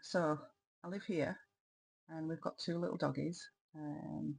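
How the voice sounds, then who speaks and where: A woman with a very deep, low pitch speaks very slowly in a somewhat breathy voice. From Yorkshire, northern England. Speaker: crafting vlogger. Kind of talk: casual vlog talk. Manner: hesitant, many ums.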